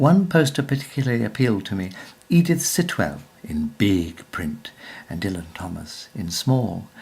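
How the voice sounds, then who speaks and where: A man speaks at a moderate pace with a fairly low, somewhat breathy voice. His pitch swings very widely and his loudness rises and falls a lot. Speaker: actor. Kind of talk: personal anecdote narration.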